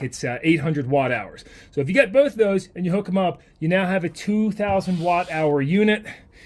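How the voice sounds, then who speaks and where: A man speaks at a high pitch and a fairly quick pace, his intonation lively. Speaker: product reviewer. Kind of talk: product review tutorial. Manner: fast; casual.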